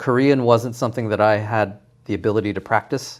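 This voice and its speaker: On a very clean recording with a silent background, a man with a Canadian accent speaks at a fairly quick pace in a monotone, flat intonation. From Toronto area, Canada. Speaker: cooking show contestant and home cook. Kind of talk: interview.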